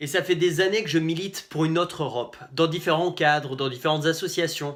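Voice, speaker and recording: In a very clean recording with a silent background, a man speaks at a fairly quick pace in a high pitch with ordinary variation. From Finland. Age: 20s. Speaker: political candidate. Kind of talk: campaign video address.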